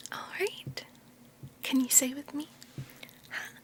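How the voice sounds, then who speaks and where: Over noticeable background noise, a woman is whispering at a very slow pace. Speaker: Japanese language teacher (roleplay). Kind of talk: ASMR language lesson. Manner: soft-spoken.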